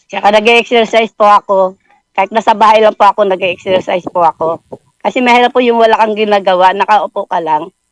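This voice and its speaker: A woman's medium-pitched voice at a very fast pace, with fairly even intonation, very even loudness and a dry, close sound without echo. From Bulacan, Philippines. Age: 60s. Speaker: education graduate, former street vendor. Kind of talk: interview answer.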